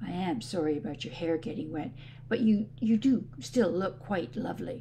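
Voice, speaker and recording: Over clear background noise, a woman puts on a raspy character voice with very deep, low pitch, very wide pitch swings and a moderate pace. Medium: read story.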